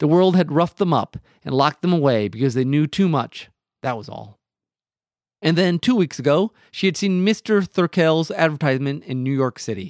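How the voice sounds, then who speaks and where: A man with a fairly high pitch and an unremarkable speaking voice talks at a moderate pace with lively intonation, in a dry, close sound with no echo and a very clean recording over a silent background. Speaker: podcast host, teacher. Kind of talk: casual chat.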